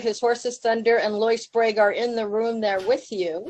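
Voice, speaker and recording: This is an ordinary speaking voice with an American accent. The pace is moderate. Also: woman. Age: 60s. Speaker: public health professor. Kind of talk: conference talk. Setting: video call to a conference room. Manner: casual, with many fillers.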